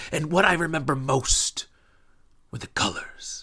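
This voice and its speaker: A man adopts a put-on character voice and keeps a moderate pace. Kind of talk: stage monologue. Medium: stage play. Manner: hesitant, reflective, halting repetitions.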